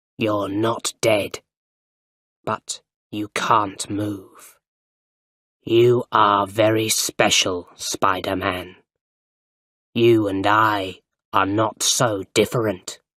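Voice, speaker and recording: This put-on character voice is monotone and flat, delivered at a very slow pace with long, frequent pauses. The sound is dry and close with no echo, a very clean recording over a silent background. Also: man, fairly low pitch for a man. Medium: read story. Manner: menacing.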